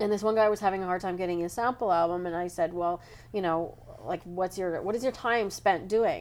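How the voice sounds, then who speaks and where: With a plain, everyday voice, a woman talks at a fairly quick pace in a medium pitch with ordinary pitch variation. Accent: Canadian. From Canada. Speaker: photography educator and editor. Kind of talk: casual panel discussion. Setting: hotel room at a convention, group recording.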